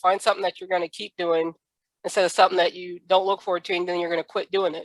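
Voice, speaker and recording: In an American accent, a woman speaks at a medium pitch, the sound dry and close with no echo. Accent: Southern accent may show. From US South. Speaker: podcast host. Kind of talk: podcast interview.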